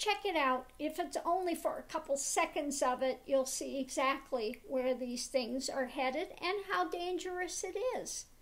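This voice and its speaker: A woman's high voice, fairly slow yet with hardly any pauses, with lively intonation. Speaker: tarot reader, spiritual teacher. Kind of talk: casual talk to camera. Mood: concerned, critical. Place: home room. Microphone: webcam.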